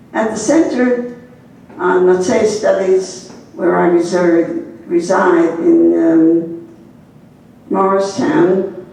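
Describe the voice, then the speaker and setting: Over noticeable background noise and audible room echo, a woman talks at a very slow pace with lively intonation and very even loudness. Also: medium pitch for a woman. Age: 80s+. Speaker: nun and historian. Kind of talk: keynote lecture. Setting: embassy event with audience.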